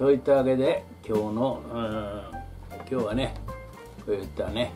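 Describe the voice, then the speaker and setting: A man with ordinary pitch variation, clear music in the background. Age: 70s. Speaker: elderly vlogger. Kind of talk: casual talk to camera. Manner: polite, leisurely. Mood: calm, wry, reflective. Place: home room. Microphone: camera far.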